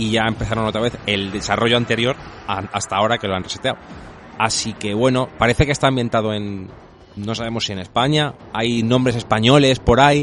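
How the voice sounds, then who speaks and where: A man speaks at a medium pitch with fairly even intonation. Noticeable background noise runs underneath. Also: fairly quick pace. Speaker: video game podcast co-host. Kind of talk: casual chat.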